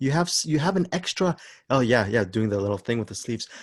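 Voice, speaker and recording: Somewhat breathy, a man swings very widely in pitch, the sound dry and close with no echo over a quiet background. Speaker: podcast host. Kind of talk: casual chat. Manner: morose-sounding usually; halting, repetitive.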